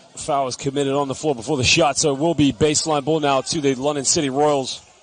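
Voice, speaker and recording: The speech moves at a very fast pace. Noticeable background noise runs throughout. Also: man. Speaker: basketball commentator. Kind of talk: live commentary. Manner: animated.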